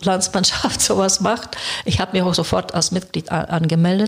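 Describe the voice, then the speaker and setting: With noticeable background noise behind her, a woman talks at a moderate pace in a medium pitch with fairly even intonation. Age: 70s. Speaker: historian, retired museum director. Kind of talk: interview, personal life story.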